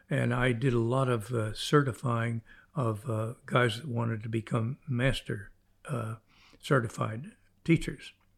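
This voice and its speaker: At a fairly slow tempo, the speech is somewhat breathy and keeps fairly even intonation. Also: man, medium pitch for a man. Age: 90s. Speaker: fly fishing legend. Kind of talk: interview storytelling. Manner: halting.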